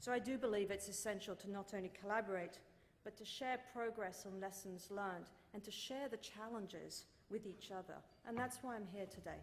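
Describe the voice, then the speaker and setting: Speaking with a British accent and fairly even intonation, a woman is heard with audible room echo. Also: medium pitch for a woman, fairly quick pace. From Britain. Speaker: corporate sustainability executive. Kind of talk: keynote speech. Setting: stage at dinner event with audience. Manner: formal.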